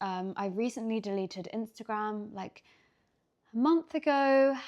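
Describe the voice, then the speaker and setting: A woman in a London accent at a moderate pace, over a quiet background. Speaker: lifestyle vlogger. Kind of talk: casual Q&A vlog. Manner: casual, hesitant with fillers.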